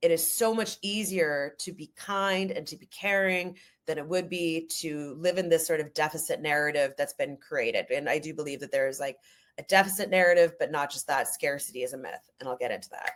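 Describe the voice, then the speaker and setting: Loud and animated, a woman with a Canadian accent speaks at a fairly quick pace in a fairly low pitch with ordinary pitch variation. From Canada, Ojibwe First Nation heritage. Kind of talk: podcast interview.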